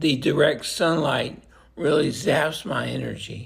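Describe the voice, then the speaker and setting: Music plays in the background as the speaker goes at a fairly slow pace, with audible room echo. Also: man. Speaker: vlogger living with a neurodegenerative illness. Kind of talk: personal video diary. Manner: halting, many fillers and repeats.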